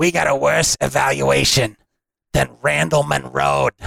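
A shouting man in a raspy put-on character voice, very deep and low in pitch, at a moderate pace. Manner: yelling.

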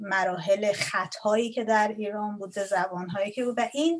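With ordinary pitch variation, the woman talks at a fairly high pitch. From Iran. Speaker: Persian language lecturer. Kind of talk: interview. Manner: halting.

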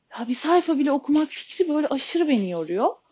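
A woman's voice at a high pitch. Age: 30s. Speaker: podcaster with ADHD. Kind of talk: personal monologue. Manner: halting, many filler sounds.

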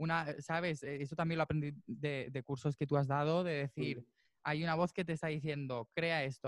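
Against a quiet background, a man with a plain, everyday voice talks at a fairly quick pace, his fairly high pitch showing ordinary variation. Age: 20s. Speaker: musician and percussionist. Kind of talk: interview.

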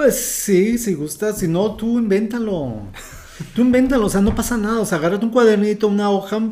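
There is audible room echo around a man whose voice sits at a high pitch. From Mexico City. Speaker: former bank HR trainer, finance guest. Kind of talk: casual interview.

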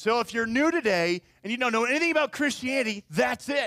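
A man speaks at an extremely high pitch in a raised, projected voice. His pace is fairly quick and his intonation lively. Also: dry, close sound with no echo. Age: 30s. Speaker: pastor. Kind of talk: sermon. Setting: church.

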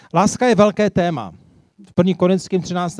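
A man with a high voice talks at a fairly quick pace with fairly even intonation, the sound dry and close with no echo. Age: 50s. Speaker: preacher. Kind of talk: sermon.

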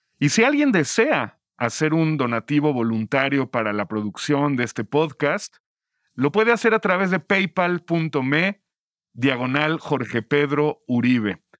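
Fairly slow speech with lively intonation in a dry, close sound with no echo. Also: man, fairly high pitch for a man. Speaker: podcast host. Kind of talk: interview and narration.

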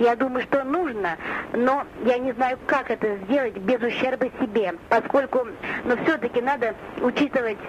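Her voice is high-pitched, and she speaks at a fairly slow pace with ordinary pitch variation. Noticeable background noise runs behind this woman. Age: 50s. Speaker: nurse and caller. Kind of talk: recorded answering machine message.

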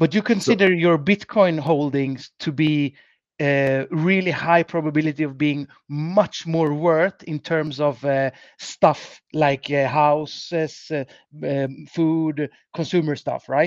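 In a Swedish accent, a man with fairly high pitch speaks at a very slow pace with fairly even intonation, the sound dry and close with no echo against a quiet background. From Sweden, Gothenburg. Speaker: financial advisor. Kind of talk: casual interview.

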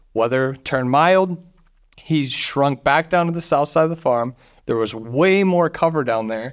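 In a very clean recording with a silent background, a man with a plain, everyday voice speaks at a moderate pace, his fairly high pitch showing ordinary variation. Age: 30s. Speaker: hunting podcast host. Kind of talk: casual chat.

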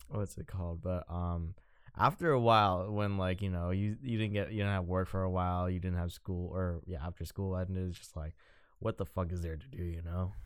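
A man speaks at a fairly quick pace in a very deep, low voice with fairly even intonation. The recording is very clean and the background silent. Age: 20s. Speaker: podcast co-host, photographer. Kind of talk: casual chat.

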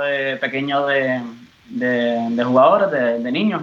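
Noticeable background noise and audible room echo surround a man's voice. He speaks fairly slowly at a fairly high pitch. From Puerto Rico. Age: 30s. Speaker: footballer. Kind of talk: interview.

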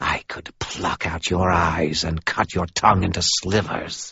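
A raspy, hissing put-on character voice, monotone and flat in intonation, at a fairly slow pace. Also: man, very deep, low pitch for a man. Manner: menacing, threatening.

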